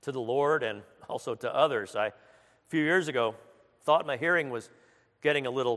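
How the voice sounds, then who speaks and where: A man speaks at a moderate pace with a medium pitch and ordinary pitch variation. The recording is very clean, with a silent background. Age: 60s. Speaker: chaplain ministry leader and former pastor. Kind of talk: sermon. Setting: church.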